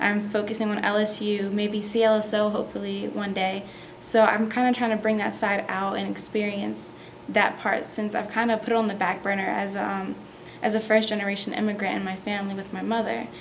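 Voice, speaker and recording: A voice with monotone, flat intonation moves at a fairly quick pace amid noticeable background noise and audible room echo. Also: woman, medium pitch for a woman. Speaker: university student. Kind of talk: interview.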